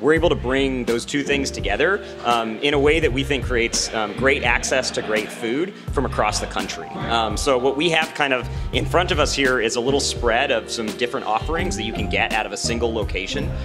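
Clear music plays in the background. A man talks at a fairly quick pace with hardly any pauses. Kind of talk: interview answer. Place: hall. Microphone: handheld.

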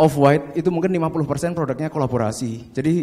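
At a moderate pace, a man talks in a fairly high pitch with a plain, everyday voice. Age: 30s. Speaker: fashion business owner. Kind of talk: seminar talk. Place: hall. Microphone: handheld.

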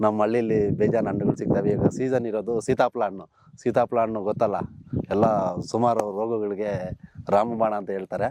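Fairly deep male voice, background noise clearly present. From rural Karnataka, India. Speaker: village vlogger. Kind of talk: casual vlog narration. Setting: outdoors. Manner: animated.

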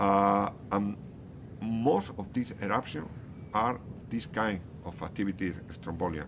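Amid noticeable background noise, a man with a Spanish accent speaks at a fairly low pitch and a fairly slow pace, with ordinary pitch variation and long, frequent pauses. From Canary Islands, Spain. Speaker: geology professor. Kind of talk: interview. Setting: outdoors near active volcano. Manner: halting, many repetitions and fillers. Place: street.

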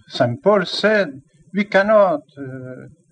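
A man with a non-native accent, speaking at a very slow pace. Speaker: archbishop. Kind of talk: sermon.

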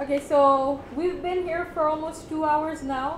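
A woman's voice over noticeable background noise. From Bangladesh. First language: Bengali. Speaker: workshop facilitator. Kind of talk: workshop talk. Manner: casual, mixes Bengali and English. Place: meeting room. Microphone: camera far.

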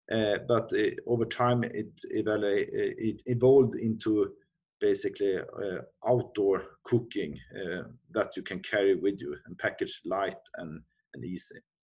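Against a quiet background, a man with a Swedish accent speaks at a fairly slow pace, with big swings in loudness and long, frequent pauses. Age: 40s. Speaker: company CEO. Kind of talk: interview. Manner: halting. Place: office. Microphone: webcam.

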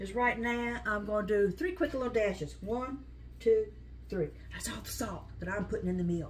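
Here a woman talks at a moderate pace. Light background noise is present. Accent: American. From US South. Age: 60s. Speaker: home cook, cooking video host. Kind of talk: tutorial, cooking demonstration. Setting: home kitchen. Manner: chatty, informal, humorous. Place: kitchen. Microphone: phone near.

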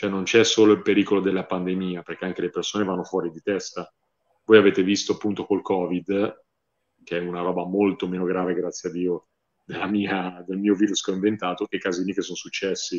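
A man's very deep, low voice at a fairly quick pace, monotone and flat, over a quiet background. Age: 30s. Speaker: horror novelist; interviewee. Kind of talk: interview. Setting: livestream. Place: home room. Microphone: earbuds.

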